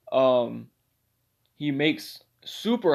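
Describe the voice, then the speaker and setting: A man speaks with lively intonation. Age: 20s. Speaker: amateur podcaster. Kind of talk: casual monologue. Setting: bedroom. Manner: halting, many fillers.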